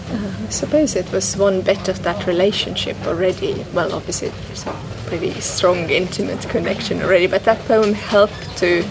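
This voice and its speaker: A woman with an Estonian accent at a fairly quick pace, with noticeable background noise. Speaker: guest on poetry podcast. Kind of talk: casual interview conversation. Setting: public bookshop event. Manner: halting.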